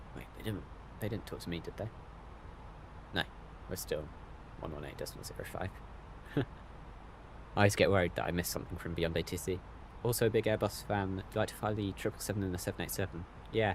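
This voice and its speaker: A man with a British accent speaks at a very deep, low pitch and a very fast pace. His pitch varies in an ordinary way, with long, frequent pauses. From Britain. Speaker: flight sim streamer. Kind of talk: live stream commentary. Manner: casual, hesitant with many fillers.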